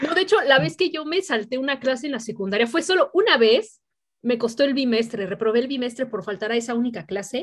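Using a Mexican accent, a woman speaks in a high pitch at a fairly quick pace with lively intonation. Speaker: podcast host. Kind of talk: casual chat.

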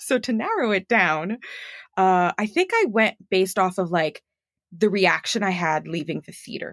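An unremarkable speaking voice, a woman's medium pitch and ordinary pitch variation move at a moderate pace in a dry, close sound with no echo. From Montreal, Canada. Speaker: actor and voice actor. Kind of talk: casual chat. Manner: friendly, laughs often.

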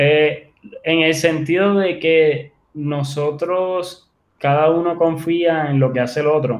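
At a very slow pace, a man with a fairly high pitch speaks with fairly even intonation. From Puerto Rico, Ponce. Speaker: entrepreneur and writer. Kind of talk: interview.

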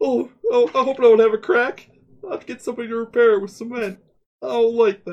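A put-on character voice runs at a very fast pace. Its pitch is fairly high. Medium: actual play.

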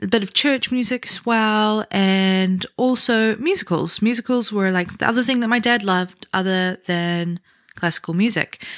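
Ordinary pitch variation marks this voice with a New Zealand accent. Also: woman, medium pitch for a woman, moderate pace, very clean recording, silent background. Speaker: podcast host, aspiring musical theatre performer. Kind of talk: solo podcast monologue. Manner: animated.

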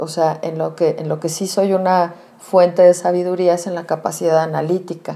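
A woman with a fairly low pitch and a dark, mellow tone speaks at a moderate pace. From Mexico City. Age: 40s. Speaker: psychotherapist. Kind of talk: interview. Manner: hesitant, many fillers.

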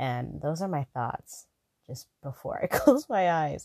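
A quiet woman at a moderate pace, dry and close with no echo. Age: 20s. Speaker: podcast host. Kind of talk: casual solo podcast monologue. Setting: lying down, not in usual studio. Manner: laid-back, quiet like a phone chat.

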